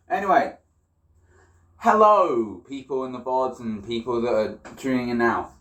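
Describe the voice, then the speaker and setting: A man with a British accent speaks at medium pitch and a fairly slow pace with lively intonation, leaving long, frequent pauses. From Britain. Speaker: livestreamer. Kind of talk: casual livestream cooking chat.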